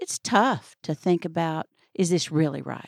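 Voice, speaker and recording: A woman talks in a plain, everyday voice. Her pace is moderate and her intonation fairly even. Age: 60s. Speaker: author and former coach. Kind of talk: interview.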